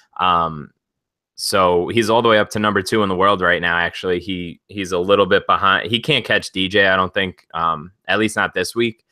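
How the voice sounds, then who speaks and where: In a Long Island accent, the voice has a bright, sharp tone at a moderate pace, on a very clean recording with a silent background and a dry, close sound with no echo. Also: man, fairly low pitch for a man. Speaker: sports betting podcast co-host. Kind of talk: casual podcast discussion.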